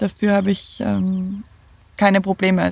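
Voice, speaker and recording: A woman with an eastern Austrian accent, very slow in pace, medium in pitch. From Lower Austria, near Vienna. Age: 30s. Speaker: van dweller. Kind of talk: interview.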